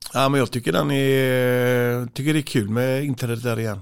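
Noticeable background noise sits behind a man with a slight Gothenburg accent. His pitch is medium, with ordinary variation. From Gothenburg, Sweden (Frölunda). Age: 40s. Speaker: handball coach. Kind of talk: interview. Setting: studio. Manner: halting.

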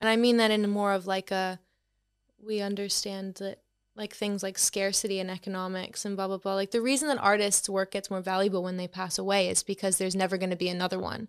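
Flat, monotone speech in a Boston accent comes very fast over a very clean recording with a silent background. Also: woman, medium pitch for a woman. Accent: Boston-area American. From Boston, US. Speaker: art influencer. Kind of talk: casual interview chat.

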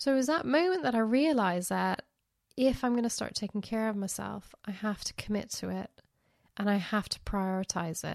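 A woman with an unremarkable speaking voice talks at a fairly quick pace and a fairly high pitch, using lively intonation over a quiet background. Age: 50s. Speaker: podcast host. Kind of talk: casual monologue.

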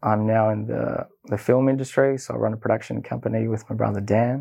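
A man talks with an Australian accent. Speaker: filmmaker. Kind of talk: personal storytelling monologue.

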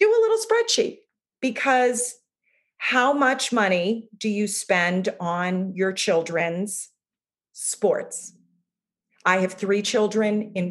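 A woman speaks at a very slow pace in a somewhat breathy voice at a medium pitch. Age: 50s. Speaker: yoga teacher, coaching client. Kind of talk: interview testimony.

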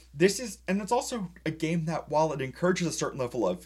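Speaking at a fairly quick pace, a man with a fairly high pitch shows vocal fry and very wide pitch swings. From New England. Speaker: board game podcast co-host. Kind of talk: casual chat.

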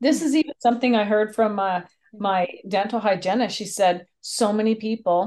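An ordinary speaking voice with a Canadian accent and ordinary pitch variation. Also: woman. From Canada. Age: 50s. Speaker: speaker, trainer and mediator. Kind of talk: interview.

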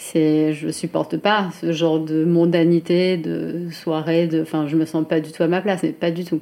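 A woman's fairly low-pitched, dark and mellow voice, monotone and flat, at a moderate pace with hardly any pauses. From France, Chartres area. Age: 30s. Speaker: fashion brand founder. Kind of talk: interview. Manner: hesitant, many fillers.

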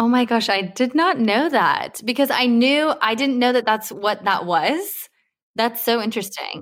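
At a fairly slow pace, a woman speaks in a plain, everyday voice with a fairly high pitch. The recording is very clean, with a silent background. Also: lively intonation, very even loudness. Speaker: skincare podcast host and consultancy co-founder. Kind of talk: casual interview chat.

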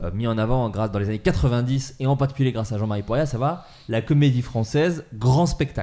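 Moving at a fairly quick pace, a man with a plain, everyday voice speaks at a medium pitch with ordinary pitch variation. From Burgundy, France. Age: 30s. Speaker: podcast host. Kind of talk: casual chat about comedy films.

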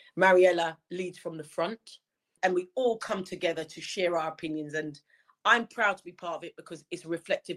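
On a very clean recording with a silent background, a woman with a London accent speaks at a moderate pace in a fairly low pitch. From London, England. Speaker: campaign patron. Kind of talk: interview.

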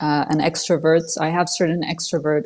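A woman with a French accent, fairly low in pitch, her intonation fairly even and her pace moderate. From Switzerland. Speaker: political commentator. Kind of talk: interview. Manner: hesitant, many fillers.

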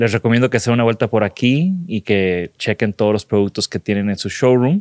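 A man speaks in a plain, everyday voice at a medium pitch with ordinary pitch variation, recorded with a dry, close sound and no echo. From Mexico, not Monterrey. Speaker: podcast host, designer. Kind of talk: interview conversation. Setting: sponsor showroom in Mexico City.

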